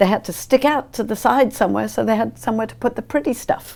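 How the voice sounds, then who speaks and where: A woman with a British accent talks at a fairly quick pace, her pitch swinging very widely and her voice showing vocal fry, in a very clean recording with a silent background. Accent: British, persistent. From England, London. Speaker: ballet teacher. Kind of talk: TV interview.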